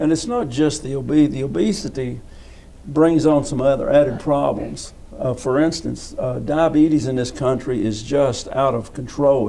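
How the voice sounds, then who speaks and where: A man's medium-pitched voice in a Southern US accent, at a moderate pace with fairly even intonation, amid noticeable background noise and audible room echo. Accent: US South. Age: 70s. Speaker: physical education coach. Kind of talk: interview. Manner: halting.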